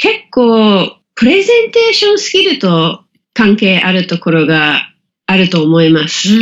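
A woman with an English accent speaks very slowly at a medium pitch. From England. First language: English (speaking Japanese). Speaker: business communication coach. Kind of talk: interview. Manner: many filler words, hesitant.

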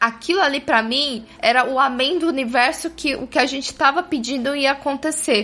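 A woman speaks in a high, bright, sharp voice, raised and projected, at a moderate pace with ordinary pitch variation and hardly any pauses. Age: 20s. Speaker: podcast panelist. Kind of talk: casual chat. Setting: studio.

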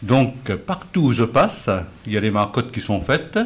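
A somewhat breathy man's voice at a medium pitch. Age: old. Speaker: retired postman. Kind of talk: radio panel discussion.

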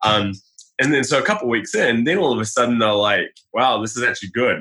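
In a New Zealand accent, a man talks at a moderate pace. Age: 30s. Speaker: health blogger. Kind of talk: casual chat.

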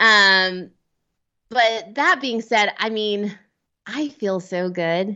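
A woman talks at a very slow pace. She leaves long, frequent pauses. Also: medium pitch for a woman, ordinary pitch variation. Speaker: amateur marathon runner and podcaster. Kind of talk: casual chat.

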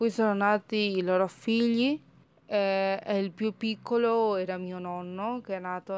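Speaking at a fairly slow pace with a Spanish accent, a woman keeps a medium pitch and fairly even intonation. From Argentina, Córdoba. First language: Spanish (speaking Italian). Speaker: language learner. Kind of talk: recorded testimony.

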